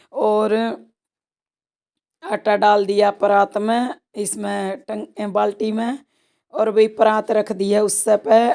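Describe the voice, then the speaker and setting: A woman's dark, mellow voice at a very slow pace, with fairly even intonation and long, frequent pauses. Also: fairly high pitch for a woman. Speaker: rural vlogger, housewife. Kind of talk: casual vlog narration.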